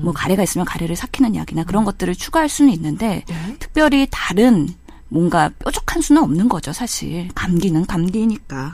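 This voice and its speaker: Over noticeable background noise, a woman with a medium pitch speaks at a moderate pace, making very wide pitch swings. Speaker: medical doctor. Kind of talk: medical advice chat.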